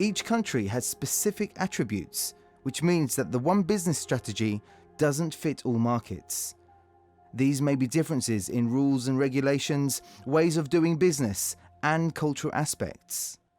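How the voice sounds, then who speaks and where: Moderate pace with music in the background. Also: man, fairly high pitch for a man. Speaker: voice-over artist. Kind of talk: corporate narration.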